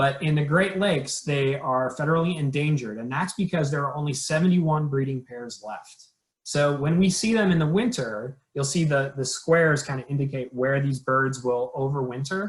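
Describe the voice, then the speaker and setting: This man has a plain, everyday voice with a fairly high pitch and ordinary pitch variation. He keeps a moderate pace with hardly any pauses. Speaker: conservation program trainer. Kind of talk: training webinar presentation.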